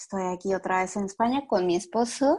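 A woman with a medium-pitched voice speaks at a moderate pace against a quiet background. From Mexico. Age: 40s. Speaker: course participant. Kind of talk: personal testimony.

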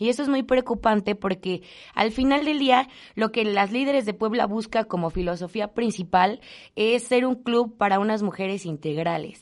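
Pitch varies in an ordinary way at a moderate pace. Behind the voice, all is quiet. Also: woman, fairly high pitch for a woman. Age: 20s. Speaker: business association co-founder. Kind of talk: interview.

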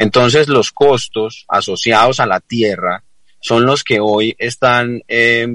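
The sound is close and dry, without any echo. It is a man who speaks. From Colombia, Risaralda (La Celia). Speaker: business association executive. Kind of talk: radio interview. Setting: remote call into radio studio. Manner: halting, repetitive fillers.

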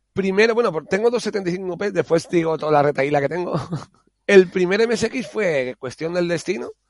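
A man speaks at a very slow pace, high in pitch, with lively intonation. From Spain, Alicante (Monóvar). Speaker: home care worker and hobbyist game developer. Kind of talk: casual interview.

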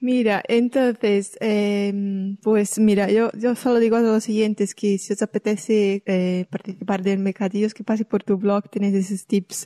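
With a Brazilian accent, a woman speaks at a medium pitch and fairly slow pace with hardly any pauses, her dark, mellow tone monotone and flat, recorded dry and close with no echo against a quiet background. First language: Portuguese (speaking Spanish). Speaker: podcast host. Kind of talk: interview.

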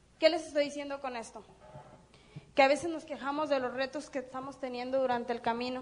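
With audible room echo, a woman speaks very fast in a high pitch and monotone, flat intonation. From Mexico, Durango. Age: 30s. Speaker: network marketing business speaker. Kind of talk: motivational seminar talk. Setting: stage with audience.

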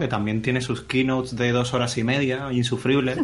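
A man's flat, monotone delivery at medium pitch, with noticeable background noise. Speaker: graphic designer and tech commentator. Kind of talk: casual chat.

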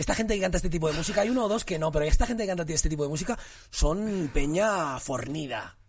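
A man speaks at a very fast pace, his pitch high for a man. His intonation is lively. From Barcelona area, Spain (Cornellà), Moroccan parents. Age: 30s. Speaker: actor. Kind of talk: casual chat.

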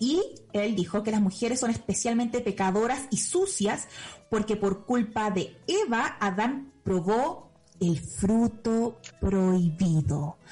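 A woman talks at a very slow pace. Her pitch is fairly high and her intonation lively. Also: very even loudness. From Chile. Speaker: podcast host. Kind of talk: casual chat; lecture.

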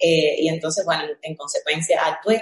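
A woman's fairly low, unremarkable speaking voice with fairly even intonation at a fairly slow pace. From Cuba, Villa Clara. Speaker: entrepreneur. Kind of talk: panel discussion. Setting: video call.

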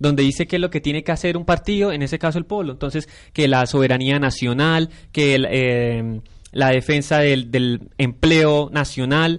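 A man with a plain, everyday voice speaks at a fairly high pitch and a fairly quick pace. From Colombia, Santander (San Gil). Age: 20s. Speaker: university student and council candidate. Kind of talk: radio panel discussion.

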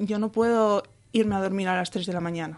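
A woman talks in an ordinary speaking voice with fairly even intonation. The background is quiet. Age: 20s. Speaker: epilepsy patient and blogger. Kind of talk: interview testimony.

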